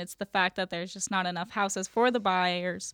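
An unremarkable speaking voice comes through a very clean recording with a silent background and a dry, close sound with no echo. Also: woman. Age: 20s. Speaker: real estate agent. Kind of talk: casual chat. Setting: studio.

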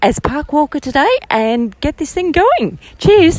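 A woman with an Australian accent speaks at a moderate pace in a high pitch with very wide pitch swings, her dry, close sound carrying no echo over noticeable background noise. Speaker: roving reporter. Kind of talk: interview. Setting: outdoors.

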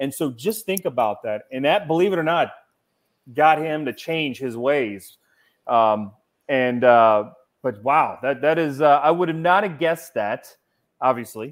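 A man's fairly high voice with an American accent and lively intonation, an ordinary speaking voice, on a very clean recording with a silent background. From Cincinnati, Ohio. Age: 40s. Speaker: cigar industry representative. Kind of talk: casual chat.

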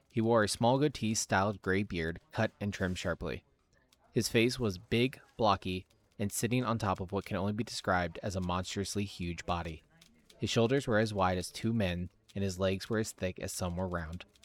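An unremarkable speaking voice moves at a moderate pace with ordinary pitch variation, in a dry, close sound with no echo on a very clean recording with a silent background. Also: man, fairly low pitch for a man. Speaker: game master and narrator. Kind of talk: fantasy narration reading, dramatic storytelling of scripted lore. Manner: casual and friendly in the intro.

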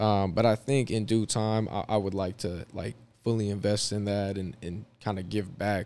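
A man talks in a fairly low pitch with a dark, mellow tone. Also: moderate pace. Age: 30s. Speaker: former pro basketball player, recruiting manager. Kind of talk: casual chat.

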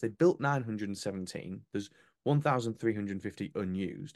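A man with a Yorkshire accent, fairly low pitch, ordinary pitch variation and a fairly quick pace over a quiet background. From North Yorkshire, England. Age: 20s. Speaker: comedian and former reporter. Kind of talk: casual chat.

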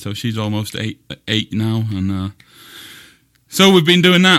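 A man with an English accent talks at a moderate pace in a bright, sharp tone with lively intonation. The recording is very clean, with a silent background. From England. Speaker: pastor. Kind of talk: casual conversation. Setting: office.

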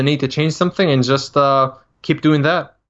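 Speaking in a monotone, flat intonation, a man with a non-native accent has a fairly high pitch. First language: not English. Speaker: combat sports coach. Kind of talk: casual chat.

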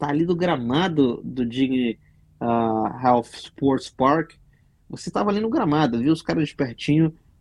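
Against a quiet background, a man speaks at a moderate pace. His pitch is fairly high, with ordinary variation. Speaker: podcast host. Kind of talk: casual sports chat.

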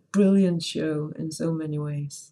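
A woman speaks with a Danish accent. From Denmark. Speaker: tailor and game developer. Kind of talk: casual chat.

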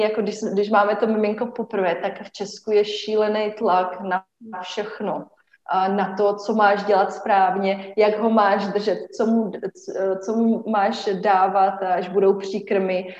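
This woman's voice sits at a medium pitch and stays monotone and flat. She speaks at a very slow pace. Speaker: blogger and former refugee camp worker. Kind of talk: interview conversation.

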